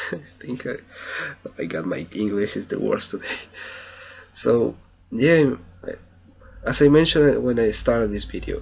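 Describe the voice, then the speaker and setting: The speaker has a Spanish accent and a moderate pace. Loudness swings widely, and long pauses come often. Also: man. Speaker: language student. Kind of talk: video journal. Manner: halting.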